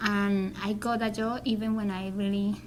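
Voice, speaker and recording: Delivered with a Spanish accent, the speech keeps a monotone, flat intonation. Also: woman. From Colombia. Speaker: Spanish teacher and graduate student. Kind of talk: interview. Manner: halting.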